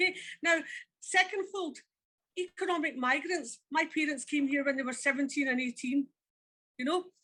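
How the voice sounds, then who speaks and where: A woman speaks in a raised, projected voice at a moderate pace, her high pitch showing ordinary variation and her tone bright and sharp, with long, frequent pauses. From Scotland, Glasgow. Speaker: former immigration officer. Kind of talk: audience discussion. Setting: public event with audience. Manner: halting.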